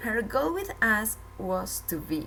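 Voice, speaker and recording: Noticeable background noise surrounds a woman speaking with a Spanish accent. Her pace is very slow. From Colombia, Bogota. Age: 30s. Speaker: language learner. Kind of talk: scripted narration.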